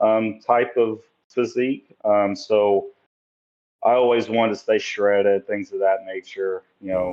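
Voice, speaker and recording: Delivered at a fairly slow pace in an East Tennessee accent, the voice holds a monotone, flat intonation. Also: man, fairly low pitch for a man. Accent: Southern US (East Tennessee). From US South, Tennessee (Sevierville). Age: 30s. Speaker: bodybuilder. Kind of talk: podcast interview. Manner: hesitant, many fillers.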